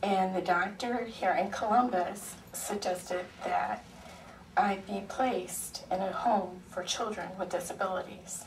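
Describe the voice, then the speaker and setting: There's audible room echo and noticeable background noise as a woman with an American accent speaks. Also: medium pitch for a woman, fairly even intonation, fairly slow pace. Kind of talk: public testimony. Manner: halting, many fillers.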